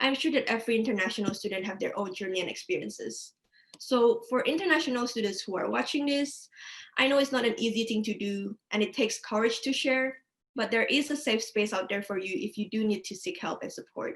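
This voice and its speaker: Her pitch high and her intonation lively, a woman speaks at a fairly quick pace. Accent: non-native. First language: not English. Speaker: counselling student. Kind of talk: webinar presentation. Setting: online webinar.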